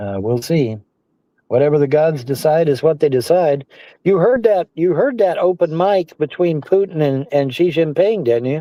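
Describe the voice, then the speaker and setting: This man has a plain, everyday voice, fairly high in pitch. He speaks at a moderate pace with lively intonation. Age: 60s. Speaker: livestream personality. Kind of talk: casual chat.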